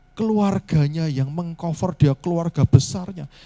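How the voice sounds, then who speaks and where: Soft-spoken and dark, mellow in tone, the voice keeps a moderate pace and ordinary pitch variation in a dry, close sound with no echo. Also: man. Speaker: pastor. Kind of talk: sermon. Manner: halting.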